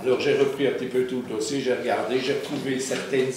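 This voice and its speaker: A man talks at a medium pitch. There's audible room echo and noticeable background noise. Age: 70s. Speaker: municipal councillor. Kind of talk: council meeting debate.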